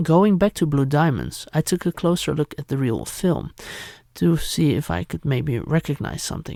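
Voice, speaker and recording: A Dutch accent on a very clean recording with a silent background. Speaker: YouTuber, retro media collector. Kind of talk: unboxing and history narration.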